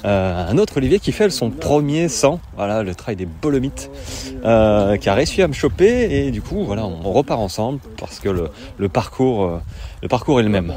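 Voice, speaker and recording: A fairly low-pitched man with very wide pitch swings, over noticeable background noise. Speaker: trail running coach and podcaster. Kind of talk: vlog recorded while racing. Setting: outdoors on a trail race. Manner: slow; halting.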